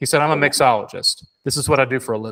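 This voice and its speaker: Animated and fairly quick, a man with a Southern US accent speaks at a fairly high pitch with ordinary pitch variation, a bright, sharp tone, and a dry, close sound with no echo. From South Carolina. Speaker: Disney beer and drinks expert. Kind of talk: casual chat.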